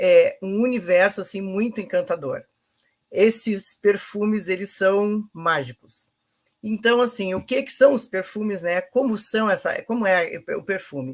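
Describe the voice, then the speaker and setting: A woman with a medium-pitched voice talks fairly slowly, her pitch varying in an ordinary way. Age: 60s. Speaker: presenter of a sales network training. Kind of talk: informal online training talk. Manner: hesitant, many fillers.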